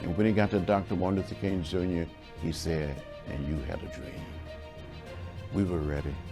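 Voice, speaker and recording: Over music in the background, a man with a very deep, low voice talks at a moderate pace, with ordinary pitch variation and long, frequent pauses. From Alabama, USA. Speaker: politician, civil rights leader. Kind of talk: interview answer.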